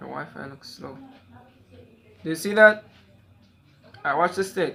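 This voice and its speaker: Speaking at a moderate pace with a Jamaican accent, this voice shows ordinary pitch variation and big swings in loudness against noticeable background noise. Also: man, high pitch for a man. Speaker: magician. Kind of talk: casual chat.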